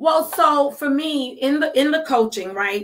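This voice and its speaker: A woman with a Brooklyn accent speaks at a very slow pace. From Brooklyn, New York. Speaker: life coach. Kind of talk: podcast interview.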